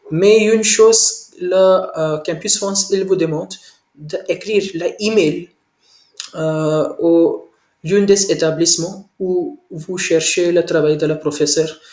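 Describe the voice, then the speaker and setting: A man with a non-native accent speaks at a high pitch and a fairly slow pace, with ordinary pitch variation. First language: not French (speaking French). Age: 20s. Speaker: French language learner. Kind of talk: language lesson conversation. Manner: halting, many hesitations.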